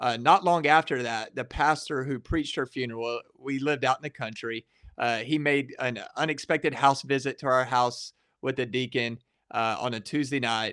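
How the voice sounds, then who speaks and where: At a moderate pace, a bright, sharp tone carries fairly even intonation in a dry, close sound with no echo against a quiet background. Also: man, medium pitch for a man. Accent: Texan. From Texas, Waco area. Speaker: pastor and evangelism director. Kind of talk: casual interview testimony.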